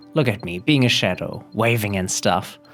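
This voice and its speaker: Lively intonation over music in the background. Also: man. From German-speaking Belgium. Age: 20s. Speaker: comedian. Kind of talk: casual comedic joke telling to camera. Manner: hesitant, rambling.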